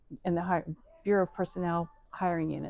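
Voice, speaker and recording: In an American accent, a woman with a dark, mellow tone speaks at a medium pitch and a moderate pace, her intonation fairly even. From Ohio, US Midwest. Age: 60s. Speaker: retired HR worker. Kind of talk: interview.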